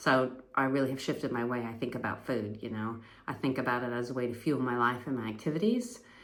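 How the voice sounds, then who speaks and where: A woman's very deep, low voice with an American accent at a moderate pace, with audible room echo. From US Pacific Northwest. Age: 50s. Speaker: fitness vlogger, amateur athlete. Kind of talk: casual vlog monologue. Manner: conversational with many fillers.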